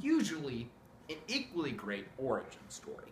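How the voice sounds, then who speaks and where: There is audible room echo and light background noise around this man. He speaks at a moderate pace. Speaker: presenter. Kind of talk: playful mock lecture. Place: home room. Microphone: camera far.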